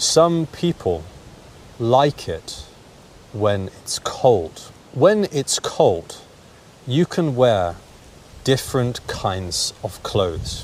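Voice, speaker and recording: A man speaks with a British accent at a very slow pace. Long, frequent pauses break his speech, with noticeable background noise. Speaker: English teacher. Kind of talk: language lesson to camera. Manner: slow, clear.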